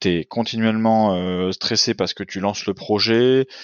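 Lively in intonation, a man with a fairly low pitch speaks at a fairly slow pace. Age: 30s. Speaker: entrepreneur and father. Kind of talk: casual interview chat. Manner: halting, many repetitions.

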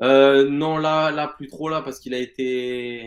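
A man speaks in a fairly high pitch with monotone, flat intonation. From Marseille, southern France. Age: 20s. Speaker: fantasy football player and former sports bettor. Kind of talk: interview.

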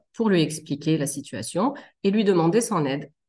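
A woman's fairly low voice with lively intonation at a fairly slow pace, against a quiet background. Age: 30s. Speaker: general practitioner and mother. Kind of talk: testimony. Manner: hesitant, frequent fillers.

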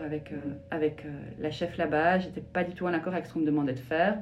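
A woman with a fairly low voice speaks very fast, using ordinary pitch variation. The room echoes audibly, and background noise is noticeable. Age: 40s. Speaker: shiatsu practitioner. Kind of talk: interview testimony. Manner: hesitant, many fillers.

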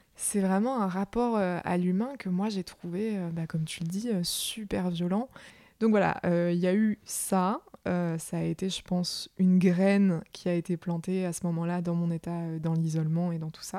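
On a very clean recording with a silent background, a woman with a dark, mellow tone speaks at medium pitch and a fairly slow pace, her intonation fairly even. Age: 20s. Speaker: mental health advocate. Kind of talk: testimony. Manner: halting.

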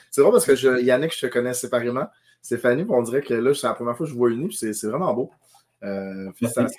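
A man talks at a very fast pace with lively intonation and a medium pitch. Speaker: podcast co-host. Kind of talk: casual chat.

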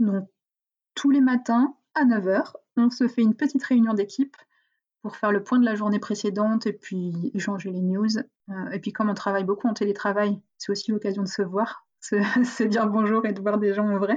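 The voice is somewhat breathy and moves at a moderate pace. Its intonation stays fairly even. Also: woman, fairly high pitch for a woman. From northern France, near Valenciennes. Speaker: entrepreneur. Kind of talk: interview. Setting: video call.

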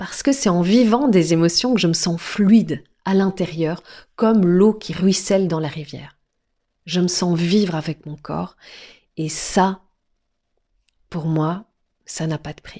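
On a very clean recording with a silent background, a woman with a fairly low pitch and a dark, mellow tone speaks at a very slow pace, with ordinary pitch variation, big swings in loudness and long, frequent pauses. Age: 40s. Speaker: podcast guest sharing personal story. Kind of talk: personal testimony. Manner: dynamic.

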